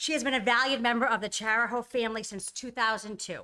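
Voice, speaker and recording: A woman speaks loudly and very fast in a bright, sharp tone with a fairly high pitch. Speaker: school administrator. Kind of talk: award speech.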